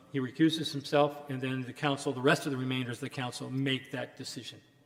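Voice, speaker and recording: A man speaks in a flat monotone while noticeable background noise runs underneath. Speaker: lawyer, keynote speaker. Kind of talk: lecture. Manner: loud.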